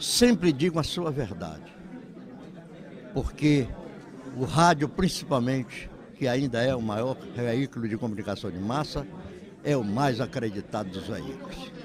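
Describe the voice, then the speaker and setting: Crowd noise fills the background as a man speaks at medium pitch with lively intonation. His pace is fairly slow, with long, frequent pauses. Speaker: veteran radio broadcaster. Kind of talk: interview.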